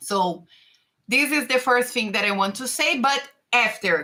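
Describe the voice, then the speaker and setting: With a Brazilian Portuguese accent, a woman speaks at a fairly high pitch in a bright, sharp tone with lively intonation. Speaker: tax and finance consultant. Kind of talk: live stream talk. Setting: live stream. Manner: halting.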